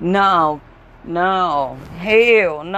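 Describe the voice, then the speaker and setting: A woman talks with a Southern US accent and lively intonation. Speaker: podcaster. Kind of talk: casual rant. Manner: animated; rambling.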